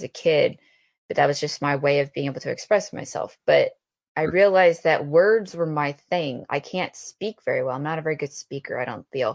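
A woman with a normal speaking voice talks at a moderate pace in a fairly low pitch, with ordinary pitch variation and a dry, close sound with no echo. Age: 30s. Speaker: army veteran and author. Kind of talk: interview.

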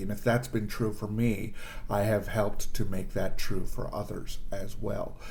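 Somewhat breathy and with monotone, flat intonation, a man talks amid audible room echo. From Canada, Toronto. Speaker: improv performer and producer. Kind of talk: casual chat.

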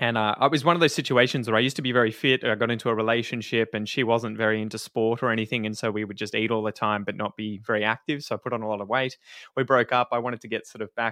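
A man with an Australian accent speaks very fast at a medium pitch, his tone bright and sharp and his intonation fairly even. The sound is dry and close with no echo, on a very clean recording with a silent background. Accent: general Australian. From Victoria, Australia (Ocean Grove near Geelong). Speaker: podcaster and English teacher. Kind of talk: casual interview.

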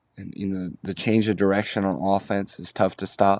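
In an American accent, a man speaks with monotone, flat intonation. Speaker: sports podcast host. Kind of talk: casual sports commentary. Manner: casual, filler-heavy.

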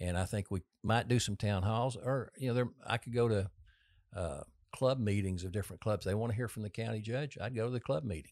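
A man with a Texan accent talks at a fairly quick pace in a fairly low pitch with ordinary pitch variation, captured in a very clean recording against a silent background. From Texas. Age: 60s. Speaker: political candidate. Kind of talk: casual interview.

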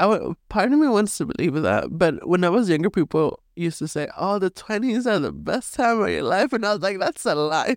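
A woman talks at a fairly quick pace with lively intonation, a medium pitch and some vocal fry. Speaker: podcast host. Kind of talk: casual chat.

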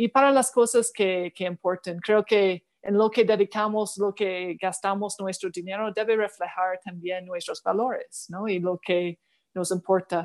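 Speaking at a fairly slow pace with hardly any pauses, a woman at medium pitch keeps a fairly even intonation in a very clean, silent-background recording that is dry and close with no echo. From Canada. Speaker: diplomat. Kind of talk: interview. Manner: halting.

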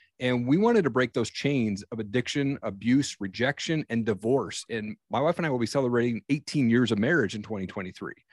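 A man with an unremarkable speaking voice, medium in pitch, talking at a fairly quick pace with hardly any pauses and ordinary pitch variation. The recording is very clean with a silent background, and the sound is dry and close with no echo. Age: 40s. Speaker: podcaster and coach. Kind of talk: casual interview. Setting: podcast recording.

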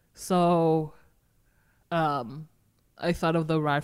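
Very clean audio with a silent background, featuring a woman with an American accent. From Massachusetts, Boston area. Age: 30s. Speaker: running crew founder. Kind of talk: casual interview.

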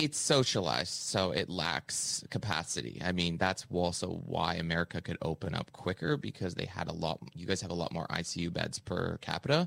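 With a Canadian accent, a man speaks at a moderate pace in a very deep, low voice with vocal fry, lively intonation and hardly any pauses, in a dry, close sound with no echo. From Canada. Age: 30s. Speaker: comedian, podcaster and author. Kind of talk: interview.

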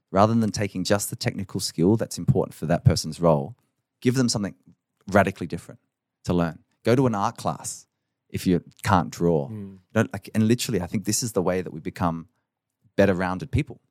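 A man with an Australian accent talks at a fairly quick pace, his pitch fairly low with ordinary variation. The very clean recording has a silent background and a dry, close sound with no echo. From Australia, southern Adelaide. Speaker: education expert and CEO. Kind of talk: interview conversation.

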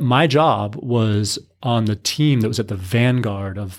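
A man speaks in a plain, everyday voice with an American accent, at medium pitch and a fairly slow pace. His pitch varies in an ordinary way, and the recording is very clean with a silent background. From US, military family moving around. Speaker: nonprofit executive director. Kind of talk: interview.

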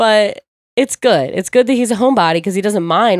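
A woman with an American accent and a normal speaking voice, ordinary pitch variation, a fairly quick pace and a dry, close sound with no echo. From US Northeast, Ocean City, New Jersey. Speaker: DJ. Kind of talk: casual chat.

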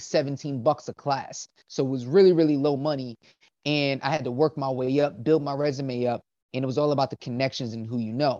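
Recorded dry and close with no echo against a quiet background, a man with an American accent has an ordinary speaking voice, a fairly high pitch, fairly even intonation and a fairly quick pace. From South Jersey, US. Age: 30s. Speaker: professional dancer and father. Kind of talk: interview.

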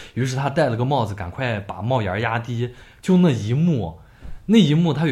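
A man's medium-pitched voice with lively intonation at a fairly quick pace. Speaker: podcast co-host. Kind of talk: casual chat. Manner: loud.

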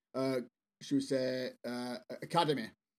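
A man with an English accent speaks on a very clean recording with a silent background. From northwest England, Bolton. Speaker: sales strategist and author. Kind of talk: interview.

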